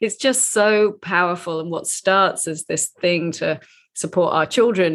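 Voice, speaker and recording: With a normal speaking voice, a woman talks at a moderate pace in a fairly low pitch, with ordinary pitch variation against a quiet background. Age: 50s. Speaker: podcast host. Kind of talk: casual interview; scripted intro.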